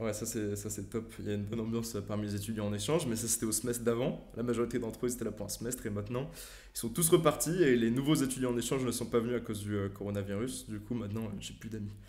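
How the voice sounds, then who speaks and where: Amid audible room echo, a man talks very fast at medium pitch with vocal fry. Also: ordinary pitch variation. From France. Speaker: science YouTuber and physics student. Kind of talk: casual interview.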